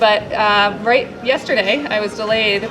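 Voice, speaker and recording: A woman with an American accent and fairly high pitch speaks amid crowd noise in the background and audible room echo. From upstate New York. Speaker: elite trail runner. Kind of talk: panel discussion. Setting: live panel with audience.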